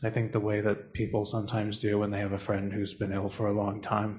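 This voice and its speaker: A man's somewhat breathy, fairly low voice at a moderate pace. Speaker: student and meditation group member. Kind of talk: sharing in group discussion.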